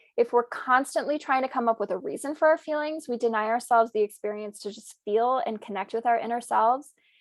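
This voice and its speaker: Talking very fast at a high pitch, a woman shows ordinary pitch variation and big swings in loudness. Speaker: conference presenter. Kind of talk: webinar presentation.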